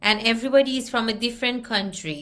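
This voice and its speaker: Audible room echo surrounds a woman with a non-native accent, whose fairly high pitch has a bright, sharp tone. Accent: foreign. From Iran. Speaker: communication skills trainer. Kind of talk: online workshop presentation. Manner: deliberately slow.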